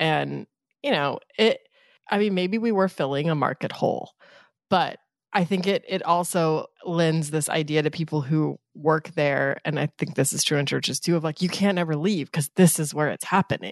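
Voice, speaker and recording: In a very deep, low voice, a woman speaks at a moderate pace with an animated tone and ordinary pitch variation. The sound is dry and close with no echo, over a quiet background. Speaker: podcast co-host. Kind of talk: casual chat and interview. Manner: animated, laughs often.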